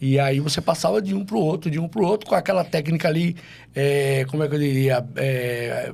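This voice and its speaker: Ordinary pitch variation in a man's fairly high, somewhat breathy voice. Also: moderate pace. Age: 60s. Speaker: DJ. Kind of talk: casual chat.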